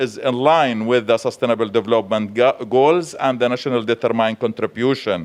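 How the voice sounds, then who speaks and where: A man's voice at medium pitch. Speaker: government official. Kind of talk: conference panel presentation. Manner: fast.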